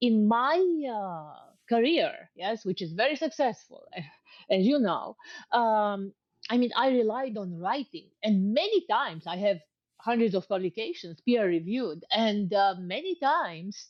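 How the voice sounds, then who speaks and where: The woman's pitch is fairly high and makes very wide swings. She talks at a fairly slow pace. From Romania. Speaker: researcher and interviewer. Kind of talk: interview conversation. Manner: halting.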